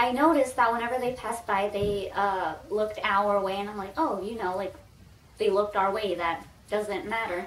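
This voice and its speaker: Speaking at a moderate pace with long, frequent pauses, a woman with an American accent and a medium pitch is heard over noticeable background noise. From Texas, U.S. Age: 20s. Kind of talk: casual talk to camera.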